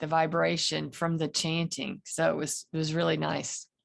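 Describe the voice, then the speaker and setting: A woman's fairly low-pitched voice with a Southern accent. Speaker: meditation participant. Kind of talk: casual chat.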